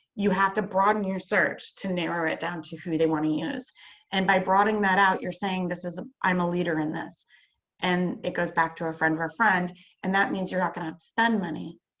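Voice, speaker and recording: A woman talks at a medium pitch and a fairly quick pace with fairly even intonation. Her loudness swings widely. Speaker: marketing presenter. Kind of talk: presentation on video call. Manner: fast; hesitant with many fillers.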